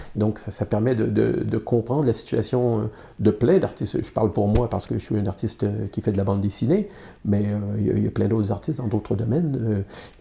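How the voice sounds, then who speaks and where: A man talks at a fairly quick pace in a fairly low, dark, mellow tone with vocal fry. His pitch varies in an ordinary way. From Quebec, Montreal. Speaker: comic book artist and publisher. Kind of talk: interview. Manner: halting, many fillers and repetitions.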